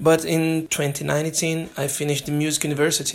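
A man with a Brazilian accent talks at a moderate pace in a fairly high pitch. The recording is very clean, with a silent background. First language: Portuguese. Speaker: jazz drummer and language student. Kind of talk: prepared self-recorded monologue. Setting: self-made recording sent in. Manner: halting.

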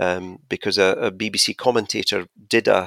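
A man at a moderate pace in monotone, flat intonation, with a dry, close sound with no echo and a very clean recording with a silent background. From Scotland. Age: 60s. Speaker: podcast guest, tech enthusiast. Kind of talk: casual chat.

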